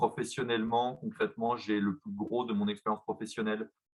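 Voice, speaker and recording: The man's speech shows ordinary pitch variation. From France, Besançon. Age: 30s. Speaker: company executive. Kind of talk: presentation. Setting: video call. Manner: halting, many fillers.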